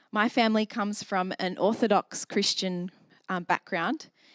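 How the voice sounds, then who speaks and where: Heard with a dry, close sound and no echo, a woman at medium pitch speaks with an Australian accent. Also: very clean recording, silent background. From Australia, south Sydney. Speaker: church member sharing testimony. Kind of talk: testimony.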